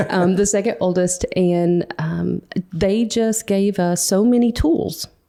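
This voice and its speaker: Medium in pitch, a woman speaks in a Western North Carolina accent. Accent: Western North Carolina mountain. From Western North Carolina mountains (near Boone). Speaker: bakery owner. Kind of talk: interview conversation.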